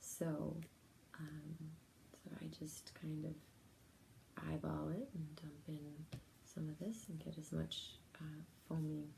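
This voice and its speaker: Soft-spoken and soothing, a woman with a very deep, low pitch and a dark, mellow tone speaks at a very slow pace with vocal fry. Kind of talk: ASMR relaxation talk to camera. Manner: soft-spoken, soothing.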